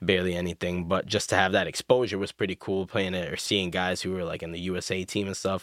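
A man with an American accent speaks very fast with hardly any pauses, his very deep, low voice flat and monotone, in a dry, close sound with no echo on a very clean recording with a silent background. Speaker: school administrator. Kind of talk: casual chat. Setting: studio.

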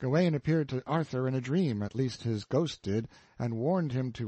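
The text is given as plain reading aloud. It is read through in that plain way.

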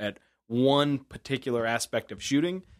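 At a moderate pace, a plain, everyday voice comes through with a dry, close sound and no echo. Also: man. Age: 30s. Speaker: podcast co-host. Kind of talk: casual chat.

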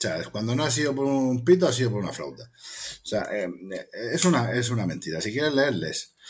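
This man talks at a moderate pace with a medium-pitched voice and vocal fry. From Spain, Cartagena (Murcia). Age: 40s. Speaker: bookseller and poet. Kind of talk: interview. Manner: hesitant, with fillers and repetitions.

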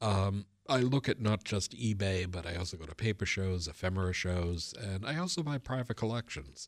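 A man speaks with an American accent at a moderate pace, with a fairly low pitch, ordinary pitch variation and hardly any pauses. It is an unremarkable speaking voice in a very clean recording with a silent background. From Boston area, US. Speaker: local historian and author. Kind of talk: radio interview.

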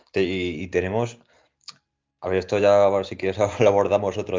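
Here a man speaks at a moderate pace. His pitch is very deep and low. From Spain, Toledo province. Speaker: classical philologist. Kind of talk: interview. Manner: halting.

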